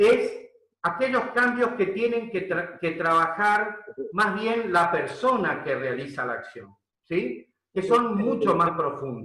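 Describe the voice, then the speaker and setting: Very slowly and in a raised, projected voice, a high-pitched man speaks with very wide pitch swings amid audible room echo. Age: 60s. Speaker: leadership coach. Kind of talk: webinar lecture. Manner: hesitant, many fillers.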